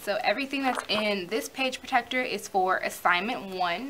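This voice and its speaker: The pace is moderate, with ordinary pitch variation. Background noise is noticeable. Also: woman. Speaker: college student vlogger. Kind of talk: tutorial.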